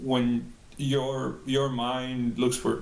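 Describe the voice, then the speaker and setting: With a Spanish accent, a man speaks at a medium pitch in a monotone, flat intonation, with audible room echo. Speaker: bilingual employee. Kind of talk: interview answer. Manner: halting, many fillers.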